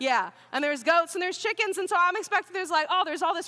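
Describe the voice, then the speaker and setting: Over noticeable background noise, a woman with an American accent speaks in a raised, projected voice at an extremely high pitch, with lively intonation and an animated tone. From Oklahoma. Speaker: student pastor. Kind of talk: sermon. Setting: church.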